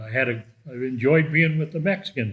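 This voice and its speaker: In an American accent, a man speaks at a moderate pace. His voice is somewhat breathy. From Southern California, US. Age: 70s. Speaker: army veteran. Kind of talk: interview.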